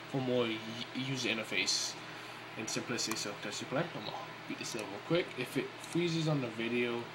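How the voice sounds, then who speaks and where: Fairly quick speech with fairly even intonation comes through audible room echo and noticeable background noise. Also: man. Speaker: indie game developer. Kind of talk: tutorial. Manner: fast; casual, filler-heavy.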